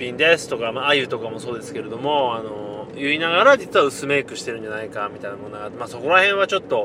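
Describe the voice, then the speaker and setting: A man talks at a very fast pace while noticeable background noise carries on behind him. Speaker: podcast host. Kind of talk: casual monologue. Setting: in a car.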